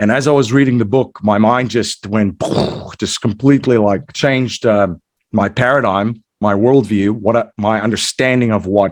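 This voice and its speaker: Fairly low-pitched male voice in a South African accent, fairly even intonation, very even loudness. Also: moderate pace. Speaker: entrepreneur and investor, podcast host. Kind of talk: interview. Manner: many fillers and repetitions.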